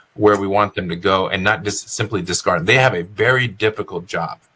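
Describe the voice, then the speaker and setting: A man talks with a fairly low pitch, a bright, sharp tone and ordinary pitch variation. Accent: American. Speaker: educator running for school office. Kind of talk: interview. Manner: fast.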